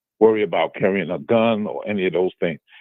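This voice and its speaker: A man is talking. His speech carries a New York accent. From Brooklyn, New York. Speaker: caller. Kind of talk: phone-in question.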